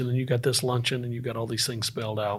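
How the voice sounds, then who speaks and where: A man with a Southern US accent talks at a very fast pace in a medium pitch with monotone, flat intonation. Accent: Southern US (Georgia). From US South, Northeast Georgia (Appalachia). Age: 50s. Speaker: entrepreneur and former Marine. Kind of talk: casual interview conversation.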